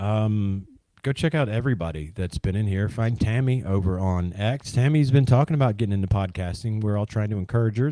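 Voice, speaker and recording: A man with a Southern US accent speaks fairly quickly in a dark, mellow tone and a fairly low voice with ordinary pitch variation, recorded very cleanly against a silent background. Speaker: livestream host exploring ancient mound sites. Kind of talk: casual livestream chat. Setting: live stream. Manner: hesitant, many fillers.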